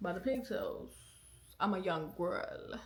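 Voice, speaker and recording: With audible room echo, a somewhat breathy woman speaks with ordinary pitch variation. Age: 20s. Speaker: podcast host. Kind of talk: casual chat; testimony. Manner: casual, conversational.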